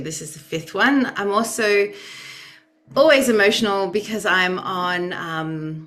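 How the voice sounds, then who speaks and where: In a room with audible echo, a woman at a medium pitch speaks fairly slowly with lively intonation. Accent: Australian. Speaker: youth advocate and researcher. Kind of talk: webinar presentation. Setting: video call.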